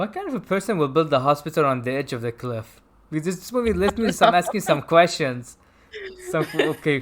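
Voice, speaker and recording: A man with a non-native accent uses lively intonation and big swings in loudness. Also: fairly high pitch for a man, fairly quick pace. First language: not English. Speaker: film review show host. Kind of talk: casual chat. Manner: halting.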